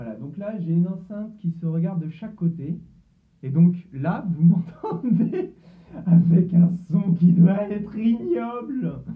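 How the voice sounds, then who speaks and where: Speaking at a very slow pace, a man uses a high pitch and lively intonation. His loudness swings widely. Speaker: tech YouTuber doing experiments. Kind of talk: casual demo video.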